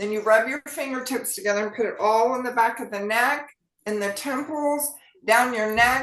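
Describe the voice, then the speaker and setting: Moderately paced speech in an American accent, with ordinary pitch variation. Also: woman, high pitch for a woman. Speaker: physician. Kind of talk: health talk show. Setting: online meeting.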